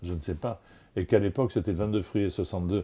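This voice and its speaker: The voice is somewhat breathy, with a dark, mellow tone, and moves at a very fast pace. The recording is very clean, with a silent background. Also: man. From Marseille, France. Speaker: TV and radio host. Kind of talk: interview answer.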